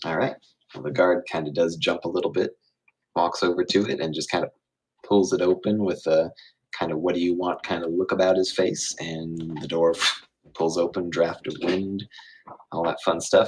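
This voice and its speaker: A man talks at a moderate pace in a very deep, low pitch. His intonation is fairly even, broken by long, frequent pauses. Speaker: game master. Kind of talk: tabletop role-play narration. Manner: quieter than usual; hesitant, many fillers.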